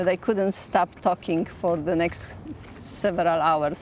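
This woman speaks at a moderate pace with a Polish accent. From Poland. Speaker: ultramarathon runner. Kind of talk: documentary interview. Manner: halting.

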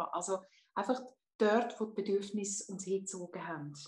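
The intonation stays fairly even in what is an unremarkable speaking voice. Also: woman. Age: 50s. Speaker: hypnotherapist. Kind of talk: interview.

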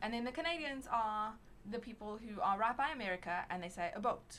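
A woman's voice with noticeable background noise. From South Africa. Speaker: podcast guest. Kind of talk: casual chat.

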